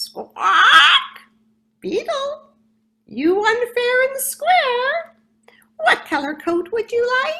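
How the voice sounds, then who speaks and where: In a squeaky, put-on character voice with an extremely high pitch and very wide pitch swings, a woman speaks very slowly with long, frequent pauses. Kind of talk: storytelling. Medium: read story. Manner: punctuated by squawks.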